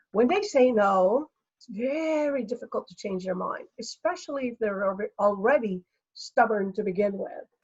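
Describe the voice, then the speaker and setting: The woman's voice is somewhat breathy, with ordinary pitch variation at a moderate pace. The sound is dry and close with no echo. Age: 60s. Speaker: energy healer. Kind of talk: interview.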